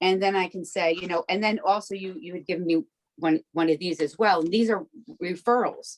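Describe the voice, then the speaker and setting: A woman talks at a fairly quick pace and medium pitch with ordinary pitch variation, in a dry, close sound with no echo. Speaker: peer recovery advocate. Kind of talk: interview. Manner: fast; animated.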